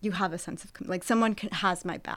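A woman with a bright, sharp tone, in a very clean recording with a silent background. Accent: American. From Southern California (Santa Barbara). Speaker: professor. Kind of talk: interview.

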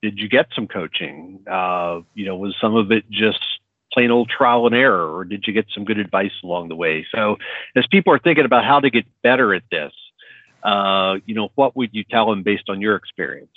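A man's normal speaking voice, fairly low in pitch, at a moderate pace. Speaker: podcast host. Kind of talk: panel discussion. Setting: remote recording.

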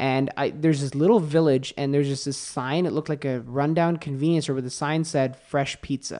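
Against a quiet background, a man with a plain, everyday voice and fairly high pitch talks at a fairly quick pace with fairly even intonation and hardly any pauses. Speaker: automotive editor and podcaster. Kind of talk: casual interview. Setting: in person studio.

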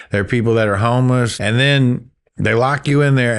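Against a quiet background, a man with a Southern US accent speaks at a medium pitch and a moderate pace. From Florida Panhandle (Gulf Breeze, Pensacola). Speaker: musician and novelist. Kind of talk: casual interview. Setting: studio.

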